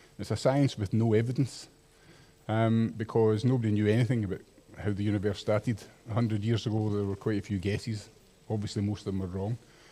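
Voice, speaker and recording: With a Scottish accent, a man speaks at a very fast pace in a fairly low, dark, mellow voice with monotone, flat intonation. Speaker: microbiologist giving public talk. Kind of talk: public lecture.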